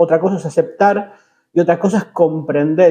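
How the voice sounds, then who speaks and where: At a moderate pace, a man talks in a high pitch with a dark, mellow tone. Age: 40s. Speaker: religious podcast host. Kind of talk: bible teaching podcast monologue. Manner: hesitant, many filler sounds.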